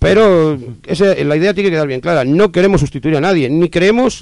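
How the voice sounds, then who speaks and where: At a moderate pace, a man speaks with a high-pitched voice. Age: 40s. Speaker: neighborhood association spokesman. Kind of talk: interview. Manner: hesitant, many fillers.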